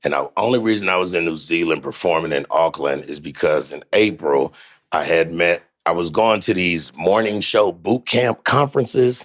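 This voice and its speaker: At a moderate pace, a man with a very deep, low voice sounds animated, his intonation lively. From US, California. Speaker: comedian. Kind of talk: casual chat. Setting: studio.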